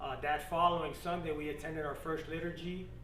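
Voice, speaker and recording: A man speaks with a fairly high pitch for a man. Noticeable background noise and audible room echo fill the recording. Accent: American. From Florida, Miami. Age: 30s. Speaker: Marine veteran, church convert. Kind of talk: testimony. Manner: casual, many fillers.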